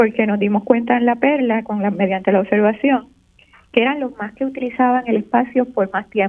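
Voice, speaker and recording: At a fairly quick pace, a woman talks in an unremarkable speaking voice, fairly high in pitch, with fairly even intonation. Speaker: architect and teacher. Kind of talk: radio interview. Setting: phone call. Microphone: very quiet on video call.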